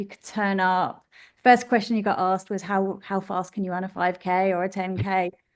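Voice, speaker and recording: With a British accent, this woman's voice sits at a medium pitch. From UK. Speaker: running group founder. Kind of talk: interview.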